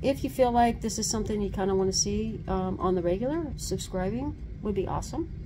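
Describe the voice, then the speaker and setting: A woman talks fairly quickly with ordinary pitch variation as noticeable noise carries in the background. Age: 60s. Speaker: van-life vlogger. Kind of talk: casual vlog. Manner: halting, many fillers. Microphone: phone near.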